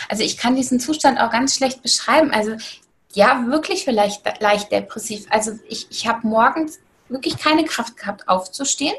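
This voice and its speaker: This woman's high-pitched voice moves with lively intonation at a moderate pace. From Germany, East Hesse. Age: 30s. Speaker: online shop owner and weight-loss influencer. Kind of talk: interview. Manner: hesitant with frequent fillers.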